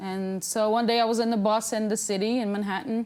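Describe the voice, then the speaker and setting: A woman with a Portuguese accent speaks at a moderate pace in a fairly high pitch, her intonation fairly even. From Brazil (Amazon region). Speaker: plus-size model. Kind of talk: talk show interview.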